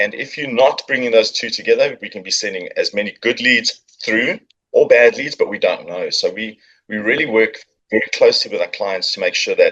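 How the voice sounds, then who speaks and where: A man speaks in a South African accent. His loudness swings widely. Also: fairly quick pace. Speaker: marketing agency founder. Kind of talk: podcast interview.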